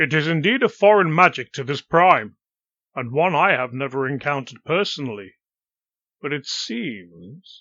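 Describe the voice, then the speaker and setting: Using a put-on character voice, a man speaks in a fairly high pitch. He keeps a moderate pace. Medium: read story. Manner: grave, deliberate.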